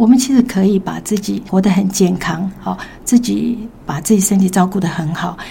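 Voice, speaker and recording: Noticeable background noise sits behind a woman speaking at a moderate pace with ordinary pitch variation. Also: medium pitch for a woman. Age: 60s. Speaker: music teacher and mother, health testimony guest. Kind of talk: casual interview, personal testimony.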